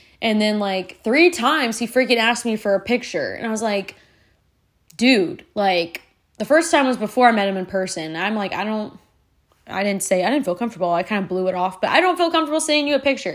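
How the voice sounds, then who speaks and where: A woman speaks very fast in an animated tone. Her fairly high pitch swings very widely. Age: 20s. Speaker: podcast host and teacher. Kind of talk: casual monologue.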